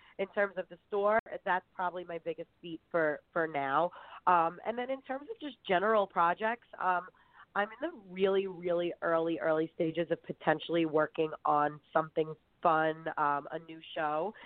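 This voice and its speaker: A woman with a fairly low pitch speaks at a moderate pace. Her loudness swings widely, while her pitch varies in an ordinary way. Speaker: reality TV contestant. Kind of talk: casual chat. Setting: podcast interview. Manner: animated, laughs often.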